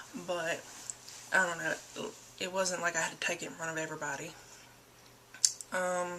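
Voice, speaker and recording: Over noticeable background noise, a woman speaks in a fairly low, monotone, flat voice with long, frequent pauses. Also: moderate pace. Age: 20s. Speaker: vlogger. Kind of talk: personal testimony. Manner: casual, hesitant with many fillers.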